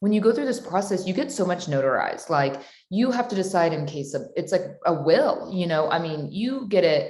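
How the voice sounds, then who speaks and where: Audible room echo surrounds a woman at medium pitch with lively intonation. She talks at a fairly quick pace, somewhat breathy. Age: 30s. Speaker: guest, new mother. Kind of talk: casual interview chat.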